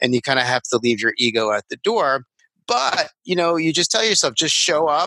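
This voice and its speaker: A man with an American accent speaks in a bright, sharp tone. The recording is very clean, with a silent background and a dry, close sound with no echo. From Long Island, New York. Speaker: language therapist. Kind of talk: interview.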